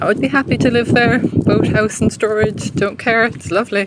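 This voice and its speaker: A woman speaks in an Irish accent at a moderate pace. Her pitch varies in an ordinary way, with noticeable background noise present. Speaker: walking tour vlogger. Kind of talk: live-streamed walking tour commentary. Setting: outdoors, walking. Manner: lowered, quieter voice.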